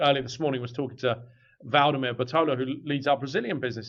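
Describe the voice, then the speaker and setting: A man with an English accent. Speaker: business executive. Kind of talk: podcast interview.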